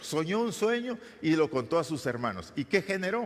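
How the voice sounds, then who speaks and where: Here a man speaks at a moderate pace. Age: 60s. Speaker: pastor. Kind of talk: sermon. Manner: halting.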